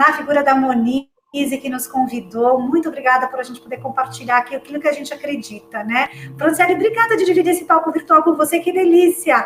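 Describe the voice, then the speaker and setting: A woman speaks at a very fast pace with a high pitch. Her intonation is lively. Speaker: career advisor and retail association director. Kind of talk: closing remarks at online panel. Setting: live online event.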